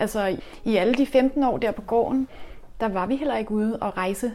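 Fairly even in intonation and moderate in pace, the woman's speech has a dark, mellow tone. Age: 40s. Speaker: urban gardener. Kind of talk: interview. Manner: halting.

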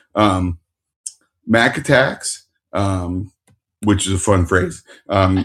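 The voice is a man's, fairly low in pitch. It sounds somewhat breathy. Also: long, frequent pauses. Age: 50s. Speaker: podcast host. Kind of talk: casual chat.

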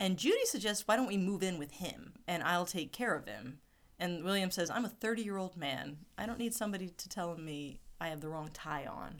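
Speaking at a moderate pace and medium pitch, a woman sounds animated, her intonation lively. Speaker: podcast co-host. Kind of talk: casual chat. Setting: recording at home.

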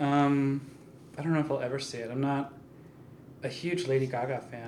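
A soft-spoken voice at a moderate pace, with noticeable background noise. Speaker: photographer. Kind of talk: casual chat.

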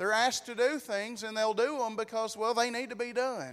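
A man speaks loudly in a high-pitched voice. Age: 30s. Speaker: pastor. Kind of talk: sermon. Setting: church.

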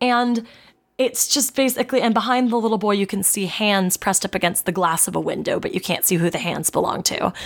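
A woman at a fairly quick pace, in an unremarkable speaking voice with fairly high pitch and ordinary pitch variation. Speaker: podcast co-host. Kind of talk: casual comedy podcast chat, reading lore aloud.

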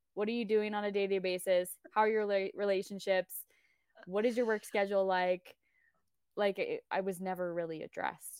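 At a fairly quick pace, a woman with an American accent speaks at a medium pitch, in a dry, close sound with no echo on a very clean recording with a silent background. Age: 30s. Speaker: nutrition coach. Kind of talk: casual chat.

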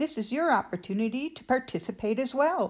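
With a Rhode Island accent, a woman talks at a moderate pace in a fairly high pitch with very wide pitch swings. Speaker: co-host of writing show. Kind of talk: casual workshop chat.

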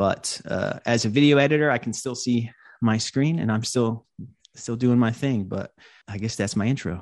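Against a quiet background, a man speaks at a moderate pace with an American accent and ordinary pitch variation. It is a normal speaking voice. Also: medium pitch for a man. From US South (North Carolina). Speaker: video editor and podcaster. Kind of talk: panel discussion. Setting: video call. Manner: casual, many filler words.

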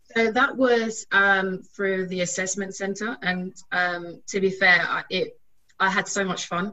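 At medium pitch, a woman speaks in a normal speaking voice, keeping a fairly slow pace and fairly even intonation. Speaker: technology audit graduate. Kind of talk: webinar panel talk.

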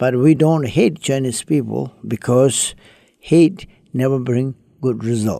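Pitched in the medium range, a man's voice shows ordinary variation in pitch. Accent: Tibetan. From Tibet. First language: Tibetan. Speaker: Buddhist monk. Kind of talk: interview. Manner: halting.

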